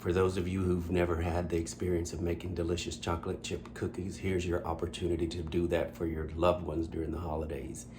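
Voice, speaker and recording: Audible room echo surrounds a man talking at a very fast pace, his pitch very deep and low, with vocal fry and fairly even intonation. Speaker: home cooking channel host. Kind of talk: cooking tutorial. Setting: home kitchen. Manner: quiet, low-voiced.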